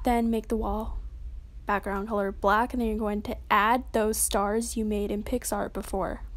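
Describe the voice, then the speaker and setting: A woman's fairly high voice, monotone and flat in intonation, at a moderate pace. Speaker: app tutorial creator. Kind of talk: tutorial. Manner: casual, informal.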